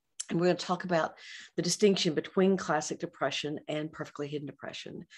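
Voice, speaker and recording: A woman speaks with a fairly low pitch. Her pitch varies in an ordinary way. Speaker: psychologist and author. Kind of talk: professional webinar lecture. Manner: fast.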